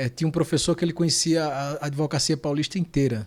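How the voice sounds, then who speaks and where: A fairly quick, fairly evenly intoned voice with a Pernambuco accent, on a very clean recording with a silent background. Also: man. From Pernambuco, Brazil (Panelas). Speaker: lawyer. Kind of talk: interview. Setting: podcast studio.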